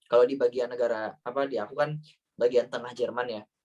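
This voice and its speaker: Speaking in a Banyumas accent, a man talks at a fairly quick pace with ordinary pitch variation. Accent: Ngapak (Banyumas Javanese). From Central Java, Banyumas area. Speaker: Indonesian living in Germany, talk show guest. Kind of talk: online talk show Q&A. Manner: casual, hesitant with fillers.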